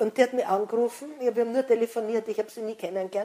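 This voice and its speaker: The voice has a dark, mellow tone and a fairly quick pace. Its intonation is monotone and flat. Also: woman. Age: old. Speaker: author and educator. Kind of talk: interview. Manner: halting.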